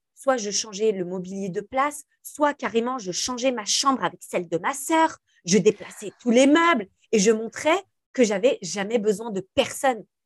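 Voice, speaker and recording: A woman with an unremarkable speaking voice talks fairly slowly at a fairly high pitch, her intonation lively and the sound dry and close with no echo. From France, Algerian family. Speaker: influencer and entrepreneur. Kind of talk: interview conversation.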